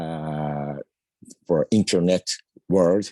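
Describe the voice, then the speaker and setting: A man with a non-native accent speaks very slowly in a very deep, low voice with a dark, mellow tone. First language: not English. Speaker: discussion participant. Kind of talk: casual comment. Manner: halting.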